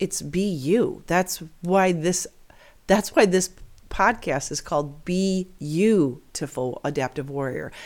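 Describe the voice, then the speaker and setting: On a very clean recording with a silent background, a woman speaks at a very slow pace with a fairly low pitch and ordinary pitch variation. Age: 50s. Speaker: podcast host, amputee. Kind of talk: motivational monologue. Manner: earnest, upbeat.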